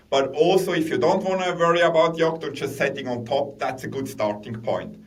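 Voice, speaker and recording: A man with a Swiss accent talks at a moderate pace and a fairly high pitch with ordinary pitch variation, with audible room echo and noticeable background noise. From Switzerland. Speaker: tech executive. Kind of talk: interview.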